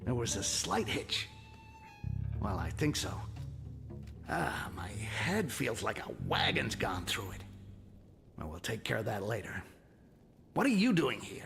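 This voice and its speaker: Over clear background noise, a man in a put-on character voice speaks slowly at a fairly low pitch, with long, frequent pauses. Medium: video game. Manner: sarcastic, grumbling.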